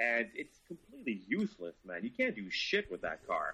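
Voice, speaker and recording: A man with a French Canadian accent at a moderate pace. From Montreal, Quebec. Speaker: car journalist. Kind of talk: casual chat.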